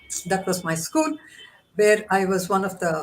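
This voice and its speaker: The speaker sounds somewhat breathy and talks at a fairly slow pace. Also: woman. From India, Mysore. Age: 70s. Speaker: women's organization founder. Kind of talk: interview conversation.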